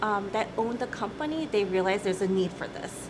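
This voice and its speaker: The speech moves at a fairly quick pace. Room echo is audible, along with noticeable background noise. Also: woman. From US Midwest, Michigan. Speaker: company CEO. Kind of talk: interview.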